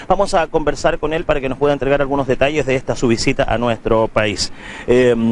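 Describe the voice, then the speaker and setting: Over noticeable background noise, a man with a fairly high pitch and ordinary pitch variation talks at a very fast pace. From Chile. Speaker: local reporter. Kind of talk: interview.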